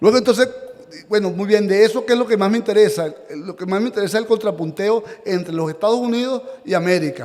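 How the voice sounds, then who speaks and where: A man talks at a very fast pace in a high-pitched voice with ordinary pitch variation. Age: 60s. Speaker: historian and author, seminar lecturer. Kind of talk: lecture. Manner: halting, with frequent repetitions.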